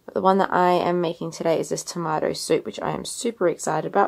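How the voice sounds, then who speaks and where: Pitch moves in an ordinary way here. The voice is in an Australian accent. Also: woman. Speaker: vlogger. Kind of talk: casual vlog narration.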